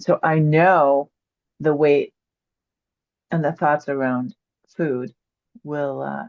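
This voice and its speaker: Speaking at a very slow pace with long, frequent pauses, a woman with a very deep, low pitch keeps a fairly even intonation in a dry, close recording with no echo. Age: 60s. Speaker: webinar participant. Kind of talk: testimony.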